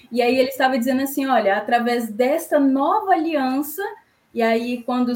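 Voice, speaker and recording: The voice belongs to a woman. Her pitch is high. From Espírito Santo, Brazil. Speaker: church youth leader. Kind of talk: Bible study discussion.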